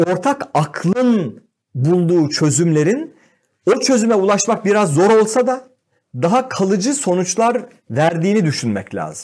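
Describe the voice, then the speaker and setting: A man with a high pitch speaks at a fairly slow pace, his pitch swinging very widely. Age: 50s. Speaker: economist. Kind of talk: casual chat.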